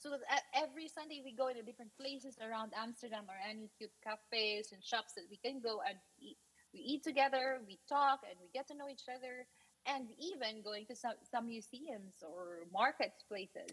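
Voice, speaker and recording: A high-pitched woman with a Filipino accent, ordinary pitch variation and a moderate pace. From Philippines. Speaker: guest expat. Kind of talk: casual interview. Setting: video call.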